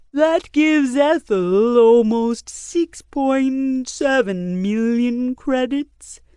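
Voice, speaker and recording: A put-on character voice at a very slow pace, hardly any pauses, and ordinary pitch variation. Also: woman, high pitch for a woman. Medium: read story. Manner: calm, accommodating.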